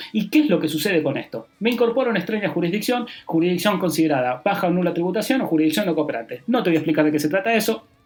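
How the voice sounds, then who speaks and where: A man's high-pitched, very fast talk with lively intonation and hardly any pauses, against noticeable background noise. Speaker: public accountant, tax advisor. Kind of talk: podcast monologue on tax.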